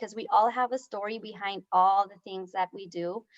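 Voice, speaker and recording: A woman with a Spanish accent at a moderate pace, ordinary pitch variation, and a dry, close sound with no echo. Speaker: talk show host. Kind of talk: interview.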